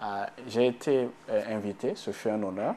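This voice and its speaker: The speaker has a Burkinabè accent. The intonation is fairly even. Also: man. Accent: African (Burkinabè) French. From Burkina Faso. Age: 30s. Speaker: economist. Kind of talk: TV interview.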